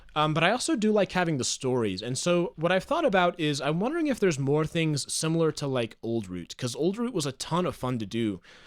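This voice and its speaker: Talking at a very fast pace, a man with a fairly high pitch makes very wide pitch swings on a very clean recording with a silent background. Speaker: Minecraft content creator and streamer. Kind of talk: casual live stream chat while gaming. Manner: stutters over words, halting when live.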